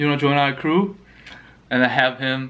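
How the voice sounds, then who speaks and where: Speaking at a moderate pace, a man with a Korean accent has a fairly high pitch. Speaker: mukbang youtuber. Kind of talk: casual chat while eating.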